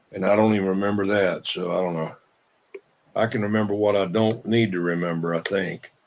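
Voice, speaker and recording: In a Southern US accent, a man speaks at a fairly low pitch with monotone, flat intonation. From South Carolina (Union, Charleston). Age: 70s. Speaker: CB radio user. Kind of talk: casual chat. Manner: halting.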